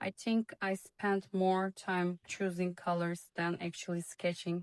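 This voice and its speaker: A woman with a non-native accent speaks at a fairly slow pace in a monotone, flat way, the sound dry and close with no echo. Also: medium pitch for a woman. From Turkey, Istanbul. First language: Turkish. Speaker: illustrator. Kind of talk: vlog voiceover narration.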